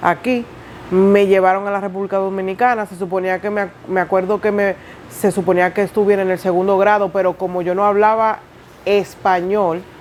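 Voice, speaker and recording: Flat, monotone delivery from a woman, pitched in the middle range. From Dominican Republic. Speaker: interviewee, single mother. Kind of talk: testimony interview.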